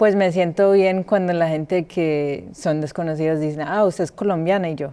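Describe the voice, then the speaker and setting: A woman with a fairly low pitch and fairly even intonation speaks at a moderate pace, noticeable background noise audible throughout. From Colombia. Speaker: podcast co-host. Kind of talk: casual chat. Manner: hesitant.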